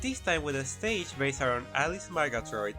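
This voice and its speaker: A woman talks at a fairly quick pace in a very deep, low voice. Music plays in the background. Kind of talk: casual gameplay commentary. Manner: mumbling.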